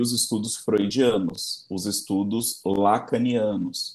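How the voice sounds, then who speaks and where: A man speaks at a very slow pace. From Brazil, São Paulo area (Embu das Artes). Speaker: psychologist. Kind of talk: casual interview chat.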